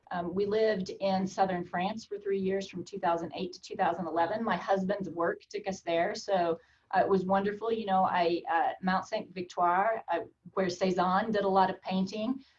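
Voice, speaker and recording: The voice carries an American accent and sounds somewhat breathy. Its intonation is monotone and flat at a moderate pace. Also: woman, medium pitch for a woman. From Oklahoma. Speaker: college administrator. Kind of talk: interview.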